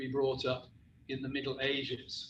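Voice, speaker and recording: With a West Country accent, a man talks at a moderate pace amid audible room echo. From West Country, England. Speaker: professor. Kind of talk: lecture.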